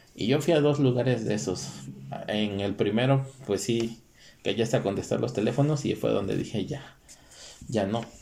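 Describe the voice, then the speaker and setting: A man speaks at a moderate pace with vocal fry, a dark, mellow tone, medium pitch, ordinary pitch variation, and long, frequent pauses. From Mexico, Guerrero state. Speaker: podcast co-host. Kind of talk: casual chat.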